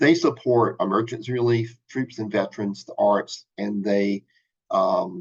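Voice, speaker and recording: A man with an American accent speaks at a fairly slow pace. He has an ordinary speaking voice at medium pitch. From US South, South Carolina. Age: 60s. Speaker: financial advisor. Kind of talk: webinar presentation.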